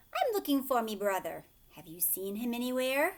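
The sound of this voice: A woman puts on a character voice, pitched high with very wide pitch swings, and keeps a moderate pace.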